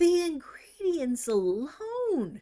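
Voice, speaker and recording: A put-on character voice, pitched high with very wide pitch swings, comes through over hissing. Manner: hissed in a low voice, under the breath.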